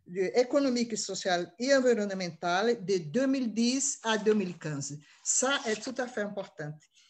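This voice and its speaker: With a non-native accent, a woman talks at a fairly high pitch. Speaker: session chair. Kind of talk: closing remarks. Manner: halting.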